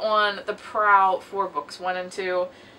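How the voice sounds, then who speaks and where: There is noticeable noise in the background. A woman talks over it. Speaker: booktuber. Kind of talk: casual video monologue.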